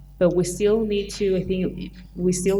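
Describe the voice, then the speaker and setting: In a room with audible echo and noticeable background noise, a woman speaks fairly slowly at a medium pitch. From Chile. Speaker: film producer. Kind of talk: panel discussion. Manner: halting.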